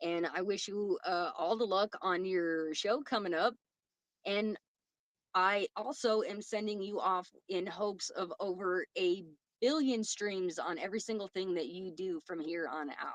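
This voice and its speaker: Speaking at a fairly slow pace, a woman with a medium pitch and ordinary pitch variation uses a plain, everyday voice. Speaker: podcast host. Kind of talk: casual chat.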